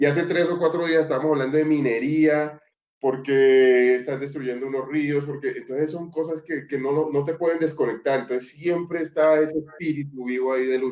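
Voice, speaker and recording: At a moderate pace with hardly any pauses, a man speaks at a fairly high pitch with fairly even intonation. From Colombia, Chocó (Pacific coast). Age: 40s. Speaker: social leader and politician. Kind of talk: interview conversation. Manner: hesitant, many fillers and repetitions.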